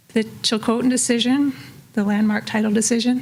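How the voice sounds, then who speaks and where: Over noticeable background noise, a woman talks at a fairly quick pace, her fairly high voice keeping fairly even intonation. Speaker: political scientist and policy consultant. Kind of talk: conference presentation. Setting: room with live audience.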